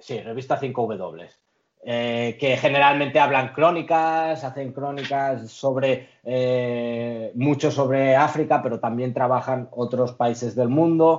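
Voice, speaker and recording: A man speaks at a very slow pace and medium pitch. His intonation stays fairly even. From Spain, Catalonia (Lloret de Mar). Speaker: international trade professional. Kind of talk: interview.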